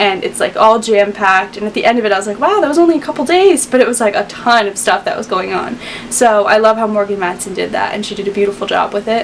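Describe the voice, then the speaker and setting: A woman's fairly high, upbeat voice at a very fast pace, ordinary pitch variation, hardly any pauses, noticeable background noise behind her. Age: young. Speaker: book reviewer. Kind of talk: casual talk to camera.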